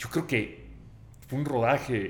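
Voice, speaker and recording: There is audible room echo around the speaker. He is a man with a Sonoran accent. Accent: Sonoran Mexican accent, noticeable. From Mexico, Sonora. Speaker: film director. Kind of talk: casual interview. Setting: studio.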